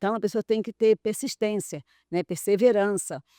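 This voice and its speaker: A woman speaks at a moderate pace with a dark, mellow tone and fairly high pitch. The sound is dry and close with no echo, very clean over a silent background. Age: 70s. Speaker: visual artist who paints with her mouth. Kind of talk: interview. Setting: studio.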